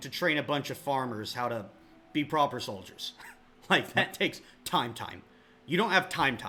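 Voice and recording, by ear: The speaker is reading aloud in a natural voice. Pitch moves with ordinary variation.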